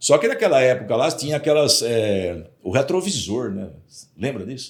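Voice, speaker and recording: This man has a medium-pitched voice with very wide pitch swings. His loudness also swings widely. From interior of São Paulo state, Brazil (Jundiaí). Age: 60s. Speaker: sales executive. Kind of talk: podcast interview.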